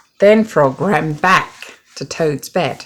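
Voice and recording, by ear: Speaking slowly, a woman uses a low pitch, a fairly bright tone and lively intonation.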